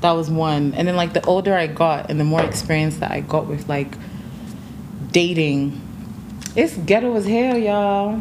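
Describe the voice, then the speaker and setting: A fairly low-pitched woman at a moderate pace, with ordinary pitch variation, long, frequent pauses, and noticeable background noise. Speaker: TikTok creator. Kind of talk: casual podcast chat. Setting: podcast recording with mic.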